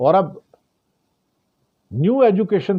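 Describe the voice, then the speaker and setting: A man with a non-native accent speaks with very wide pitch swings. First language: not Hindi (speaking Hindi). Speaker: political news commentator. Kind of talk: news commentary monologue.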